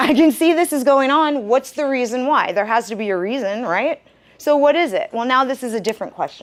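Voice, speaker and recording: A woman speaks loudly at a moderate pace. Her pitch swings very widely. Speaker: university career advisor. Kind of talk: interactive workshop talk. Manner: animated.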